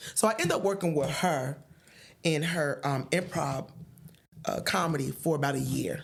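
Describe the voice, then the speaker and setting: With an American accent and a very deep, low pitch, a woman talks at a moderate pace with ordinary pitch variation, very even loudness, and long, frequent pauses, over noticeable background noise. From Paterson, New Jersey. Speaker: stand-up comedian. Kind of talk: podcast interview answer, storytelling. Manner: stutters.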